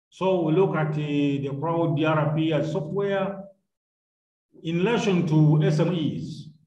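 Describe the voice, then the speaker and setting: With audible room echo, a man talks at a very slow pace and keeps a fairly even intonation. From Uganda. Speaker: university lecturer. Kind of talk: online lecture. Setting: video call. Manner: formal. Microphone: video call.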